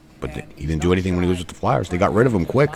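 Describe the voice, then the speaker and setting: Over noticeable background noise, a man with a Canadian accent speaks in an animated tone. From Canada. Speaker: hockey livestreamer. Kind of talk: casual live stream chat. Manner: casual, animated.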